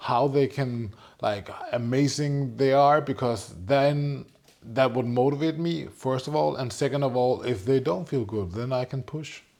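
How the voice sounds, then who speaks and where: A man talks at medium pitch with ordinary pitch variation. His pace is moderate. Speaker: entrepreneur. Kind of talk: casual chat.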